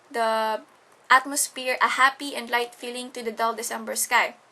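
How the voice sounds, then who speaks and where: With a Tagalog accent, a woman with a high pitch and a bright, sharp tone speaks at a moderate pace against a quiet background. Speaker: student. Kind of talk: class presentation. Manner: halting.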